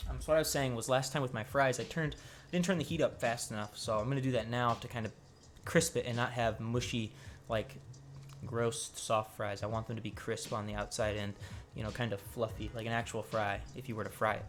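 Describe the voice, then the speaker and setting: Quiet and at a medium pitch, a man talks with vocal fry. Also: ordinary pitch variation, fairly quick pace. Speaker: cooking streamer. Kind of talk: live cooking stream. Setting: home kitchen at stovetop. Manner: casual, conversational; low volume, quiet.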